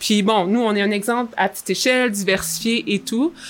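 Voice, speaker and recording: A woman speaks at a fairly quick pace, her medium pitch showing ordinary variation. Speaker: vegetable farmer. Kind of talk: interview.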